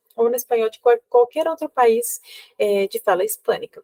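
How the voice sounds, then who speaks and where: A woman's fairly high voice, dry and close with no echo. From Cuba. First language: Spanish (speaking Portuguese). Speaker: university professor. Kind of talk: lecture. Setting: recorded video. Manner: halting.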